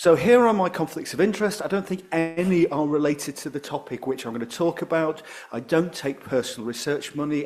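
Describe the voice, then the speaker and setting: Speaking at a fairly quick pace, a man with a northern English accent uses lively intonation. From northern England. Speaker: professor, appetite researcher. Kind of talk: conference talk. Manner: fast.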